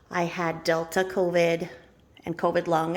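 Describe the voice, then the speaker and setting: A woman's voice with vocal fry. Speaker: Tupperware consultant. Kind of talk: casual talk to camera.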